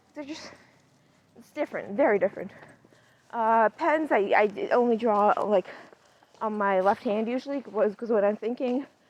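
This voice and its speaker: Speaking at a moderate pace, a woman with a fairly high pitch and ordinary pitch variation takes long, frequent pauses, and her loudness swings widely. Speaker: podcast host. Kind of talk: casual monologue while walking dog. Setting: outdoors on a walk. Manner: halting, many fillers and restarts; quieter near people.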